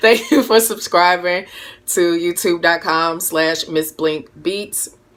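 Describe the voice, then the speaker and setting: A woman's very slow speech with ordinary pitch variation, amid noticeable background noise. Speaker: music producer and live streamer. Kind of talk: casual live stream chat. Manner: animated.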